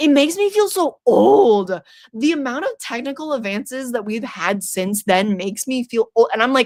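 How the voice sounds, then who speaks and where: A woman's high voice at a moderate pace, with very wide pitch swings and a dry, close sound with no echo. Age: 20s. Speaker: horror YouTuber streaming trivia. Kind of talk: casual livestream chat.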